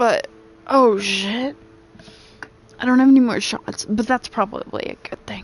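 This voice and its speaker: A woman's high-pitched voice at a fairly slow pace, with fairly even intonation, long, frequent pauses and noticeable background noise. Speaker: video game streamer. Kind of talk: casual chat.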